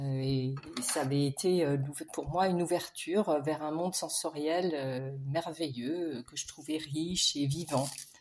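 A woman with a very deep, low pitch talks at a very slow pace with fairly even intonation. Her loudness swings widely, and there is noticeable background noise. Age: 60s. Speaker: textile artist and dyer. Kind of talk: recorded self-introduction.

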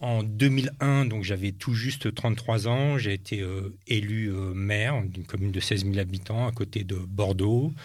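A man's fairly low, somewhat breathy voice at a fairly slow pace, with ordinary pitch variation and hardly any pauses. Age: 50s. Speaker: entrepreneur and former politician. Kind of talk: interview.

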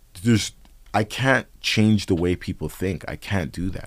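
On a very clean recording with a silent background, a man with a Toronto accent speaks at a moderate pace. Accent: Toronto urban English. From Canada, Toronto (Scarborough). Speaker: rapper. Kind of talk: casual chat.

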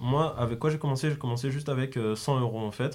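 A man speaks in an unremarkable speaking voice at a medium pitch, with ordinary pitch variation. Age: 20s. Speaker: graphic designer and clothing brand co-founder. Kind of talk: interview.

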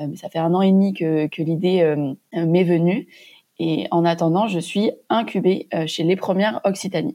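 A woman has an unremarkable speaking voice, fairly low in pitch. She talks at a fairly slow pace over a quiet background. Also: ordinary pitch variation. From Montpellier, southern France. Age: 20s. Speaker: young entrepreneur, pharmacist. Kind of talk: interview testimony.

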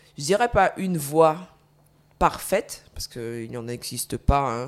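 A woman with a very deep, low voice whose pitch swings very widely. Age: 20s. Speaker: former basketball player with multiple sclerosis. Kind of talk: testimony.

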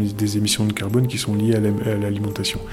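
This man's voice sits at a medium pitch and moves at a fairly quick pace. Music plays in the background. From northern France. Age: 40s. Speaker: entrepreneur. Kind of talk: interview.

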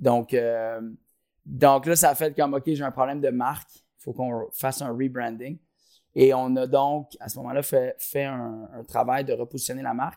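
With a Quebec accent, a man speaks fairly slowly at a medium pitch in a dark, mellow tone, his intonation monotone and flat but his loudness swinging widely, on a very clean recording with a silent background. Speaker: company co-founder. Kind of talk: interview. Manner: halting, many repetitions and fillers.

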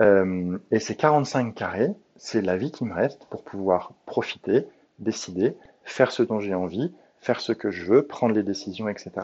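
His pitch is fairly low, with ordinary variation. This man talks at a fairly slow pace. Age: 40s. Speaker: podcast host, coach. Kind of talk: solo monologue, self-help reflection. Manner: hesitant, many filler sounds.

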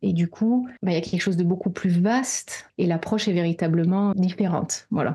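A somewhat breathy woman with a medium pitch and a dark, mellow tone speaks at a moderate pace with ordinary pitch variation, very even loudness and hardly any pauses, in a very clean recording with a silent background. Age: 40s. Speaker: therapist and coach. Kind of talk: casual chat.

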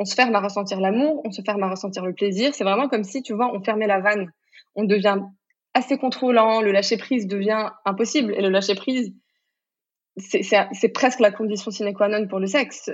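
This woman has a plain, everyday voice at a medium pitch. She speaks at a fairly quick pace with ordinary pitch variation. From Morocco. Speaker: sex coach. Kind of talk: interview conversation.

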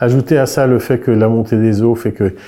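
On a very clean recording with a silent background, a man speaks at a medium pitch with a dark, mellow tone and fairly even intonation. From France, Brittany. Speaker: architect. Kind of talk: interview. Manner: halting, with frequent repetitions.

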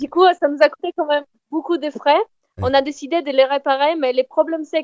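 Fairly even in intonation, the speech comes at a moderate pace with a Polish accent. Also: woman. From southern Poland, near Kraków. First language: Polish (speaking French). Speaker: traveller. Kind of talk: casual chat. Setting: phone call.

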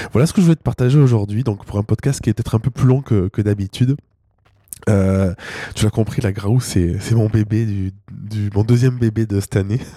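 A man speaks at a fairly quick pace in a fairly low voice with a dark, mellow tone and ordinary pitch variation, recorded dry and close with no echo. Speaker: solo podcast host and entrepreneur. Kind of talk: personal monologue to listeners. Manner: halting, many repeated words and fillers.

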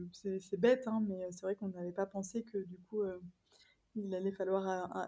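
At a moderate pace, a woman of medium pitch speaks in a dark, mellow tone with monotone, flat intonation. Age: 30s. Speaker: home renovator and holiday rental owner. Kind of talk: casual interview. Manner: hesitant, many fillers.

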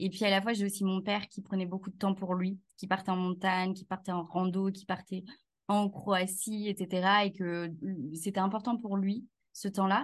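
Somewhat breathy, a woman speaks at a moderate pace in a medium pitch with monotone, flat intonation. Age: 30s. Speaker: HR consultant and business founder. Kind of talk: casual interview chat.

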